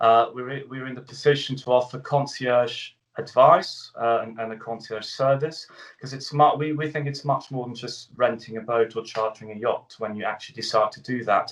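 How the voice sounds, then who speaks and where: A man with a British accent at medium pitch, moderate pace, fairly even intonation and big swings in loudness. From Switzerland. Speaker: travel company CEO. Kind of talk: radio interview. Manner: hesitant, many fillers.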